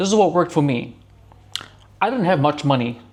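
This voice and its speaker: A very fast-talking man with a fairly high pitch. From New Zealand, Auckland. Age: 30s. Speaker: self-improvement vlogger. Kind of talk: casual motivational talk to camera. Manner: casual, conversational with many fillers.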